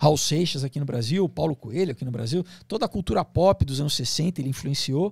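In a dry recording with no echo and a quiet background, a man speaks at a moderate pace with ordinary pitch variation. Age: 40s. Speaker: actor and comics writer; actor, comics writer. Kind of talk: interview conversation. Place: studio. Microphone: studio mic.

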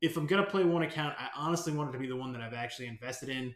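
Audible room echo surrounds this recording of a man. His fairly high voice varies in pitch in an ordinary way. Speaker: gaming YouTuber. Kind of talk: angry rant about game developer, ranting with swearing. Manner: animated; irritated, sarcastic. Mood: frustrated, venting.

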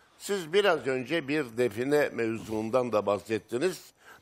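A man talks at a fairly slow pace with very wide pitch swings. The background is quiet. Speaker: studio expert commentator. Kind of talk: expert analysis. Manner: formal, measured. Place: studio.

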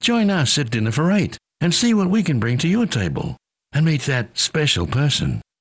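A somewhat breathy man with a fairly high pitch and very wide pitch swings speaks at a moderate pace and very even loudness, in a dry, close sound with no echo. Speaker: voice actor. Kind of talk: TV commercial read.

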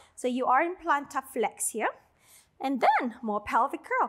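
A woman with a high voice speaks in a calm tone. Her intonation is lively, and the background is quiet. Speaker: Pilates instructor. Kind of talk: guided workout instruction, cueing breath and reps. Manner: rhythmic, counting out reps in a steady cadence; encouraging, calm cueing of breath and movement. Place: home room.

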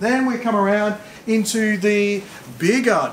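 A high-pitched man with audible room echo and light background noise. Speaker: product demonstrator. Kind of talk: guided walkthrough tour. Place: hall.

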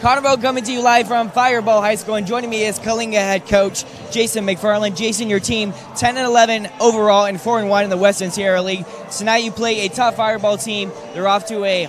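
Crowd noise behind a man's high-pitched voice, dry with no echo, fairly even in intonation and moderate in pace. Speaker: sideline reporter. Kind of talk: interviewing coaches and players. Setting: gym sideline. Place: hall. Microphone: handheld.

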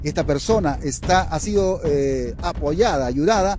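Light background noise sits behind a man speaking. The sound is dry, with no echo. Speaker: local news reporter. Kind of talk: local TV news announcement. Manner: hesitant, with filler sounds. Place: street. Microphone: handheld.

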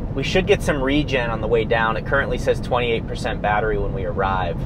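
A man speaks with ordinary pitch variation over noticeable background noise, the sound dry with no echo. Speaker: vlogger. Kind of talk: casual vlog chat. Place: car.

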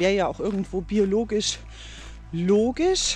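A woman's voice sounds dry with no echo, and faint music plays in the background. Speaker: vlogger. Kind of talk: casual vlog chat. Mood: reflective, calm. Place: waterside. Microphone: phone near.

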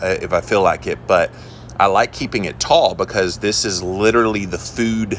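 At a moderate pace and with ordinary pitch variation, the voice is heard over light background noise. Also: man. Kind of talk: casual vlog chat. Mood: relaxed, admiring. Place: garden. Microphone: phone near.

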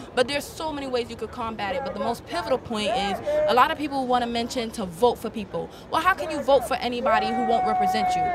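Over loud background noise, a woman with a high pitch speaks at a very fast pace in an animated tone, her intonation lively and the sound dry with no echo. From Haiti. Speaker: protester; interviewee. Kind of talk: street interview. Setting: outdoors at a march. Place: street. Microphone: handheld.

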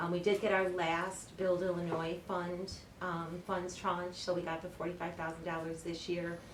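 This woman's voice sits fairly low and stays monotone and flat at a moderate pace. Audible room echo and noticeable background noise are present. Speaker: municipal finance director. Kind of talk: budget presentation at a public meeting. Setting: village board meeting.

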